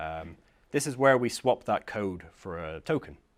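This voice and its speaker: Very wide pitch swings in a very clean recording with a silent background. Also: man. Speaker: software security consultant giving a tech talk. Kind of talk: conference talk / lecture. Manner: fast; hesitant with many fillers.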